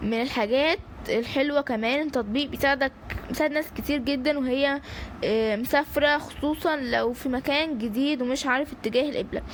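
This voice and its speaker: A woman with an Egyptian accent talks at a moderate pace, her pitch high and her intonation fairly even. Noticeable background noise runs under her voice. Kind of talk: casual app review to camera. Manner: light, joking, conversational.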